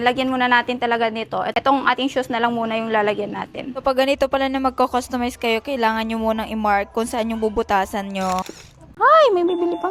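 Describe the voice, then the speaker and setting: A woman's fairly high voice at a very fast pace. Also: ordinary pitch variation. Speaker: vlogger. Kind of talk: casual vlog. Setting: outdoors travelling. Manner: animated.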